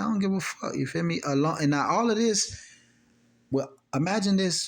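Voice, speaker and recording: A man talks at a fairly quick pace with very wide pitch swings. The recording is very clean, with a silent background. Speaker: YouTube vlogger. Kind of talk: casual monologue to camera. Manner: fast; halting, many fillers.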